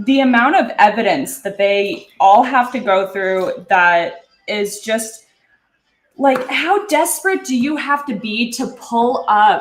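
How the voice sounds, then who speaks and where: A woman's high-pitched voice with a Canadian accent, very wide pitch swings and a very slow pace. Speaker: streamer. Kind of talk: casual chat. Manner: casual, rambling filler words.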